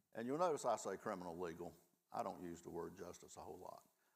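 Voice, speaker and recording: The speaker has a Southern US accent and an animated tone. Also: man. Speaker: law professor, restorative justice program director. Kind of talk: panel discussion. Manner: folksy, animated storytelling.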